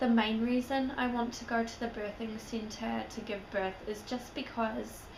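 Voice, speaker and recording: Amid noticeable background noise and audible room echo, a woman talks at a very slow pace in a fairly high pitch. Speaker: vlogger. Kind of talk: casual vlog.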